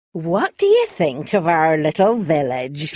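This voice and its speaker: The voice is put-on, a character voice at a middle pitch. Its pace is fairly slow. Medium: read story. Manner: chatty, laughing.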